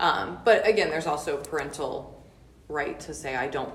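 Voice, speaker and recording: Noticeable background noise surrounds a woman speaking at a very deep, low pitch with ordinary pitch variation. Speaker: speech language pathologist. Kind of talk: interview.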